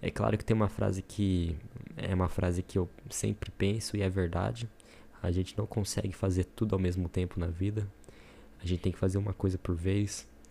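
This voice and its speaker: Very deep and low in pitch, a man speaks at a moderate pace with a dark, mellow tone, a somewhat breathy quality, fairly even intonation and very even loudness. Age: 20s. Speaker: podcaster, aspiring entrepreneur. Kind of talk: solo introductory podcast monologue. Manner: casual, with hesitations and fillers.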